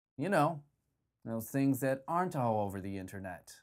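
A man with very wide pitch swings, against a quiet background. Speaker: parody news anchor. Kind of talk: comedic news reading. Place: studio.

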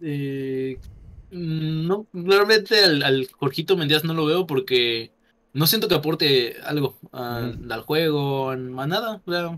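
Here a man's voice sits fairly high, with a bright, sharp tone. He speaks very slowly, with ordinary pitch variation. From Yucatán, Mexico. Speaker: YouTuber. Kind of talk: casual chat. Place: home room. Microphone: studio mic.

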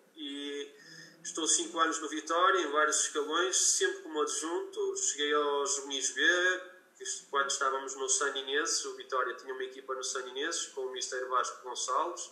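The voice comes through at a moderate pace with audible room echo. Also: man. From northern Portugal, Guimarães. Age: 40s. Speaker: football coach. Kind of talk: interview.

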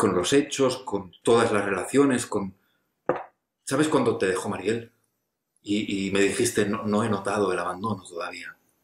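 Amid audible room echo and light background noise, a man speaks at a fairly low pitch and a moderate pace with ordinary pitch variation. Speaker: actor in a monologue. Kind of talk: intimate scripted monologue to an absent friend. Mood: reflective, earnest, slightly hesitant. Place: home room. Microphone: webcam.

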